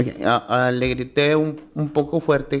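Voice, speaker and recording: A man's voice with fairly even intonation amid noticeable background noise. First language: Spanish. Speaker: trial witness. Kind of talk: witness testimony. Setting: courtroom.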